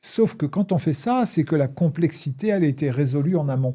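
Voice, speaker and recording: The man's dark, mellow tone is somewhat breathy, with ordinary pitch variation at a moderate pace on a very clean recording with a silent background. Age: 60s. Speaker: former addict sharing recovery experience. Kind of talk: interview. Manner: hesitant, many fillers.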